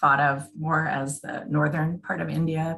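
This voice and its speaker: A woman speaks in a plain, everyday voice with an American accent. Her pitch sits fairly low, and her pace is fairly slow. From Washington State. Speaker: business systems analyst. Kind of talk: interview.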